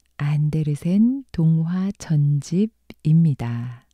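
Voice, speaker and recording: A woman with a fairly low pitch and a dark, mellow tone speaks in a somewhat breathy voice with lively intonation, recorded with a dry, close sound and no echo. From Korea. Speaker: actor. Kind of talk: casual talk to listeners.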